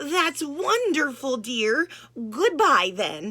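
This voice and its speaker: A woman puts on a shaky character voice with a high pitch and very wide pitch swings. She speaks at a very slow pace. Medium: read story. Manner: gentle, hesitant.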